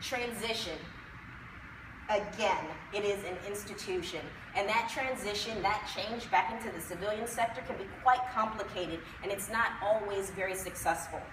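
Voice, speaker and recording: There's audible room echo and noticeable background noise. A woman speaks at a medium pitch. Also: ordinary pitch variation, moderate pace. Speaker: combat veteran and conference speaker. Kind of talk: conference presentation.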